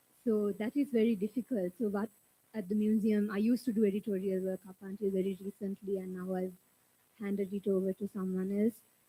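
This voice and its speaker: In a Sri Lankan accent, a woman speaks at a fairly quick pace and medium pitch, somewhat breathy and monotone with flat intonation. Her tone is dark and mellow, and the sound is dry and close with no echo. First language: Sinhala. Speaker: museum curator. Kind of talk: panel discussion.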